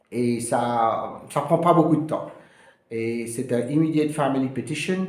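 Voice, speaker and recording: A man at medium pitch, at a very slow pace, with ordinary pitch variation and audible room echo. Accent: Mauritian. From Mauritius. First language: Mauritian Creole (speaking French). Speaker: immigration lawyer. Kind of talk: informational video talk. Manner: halting, many hesitations.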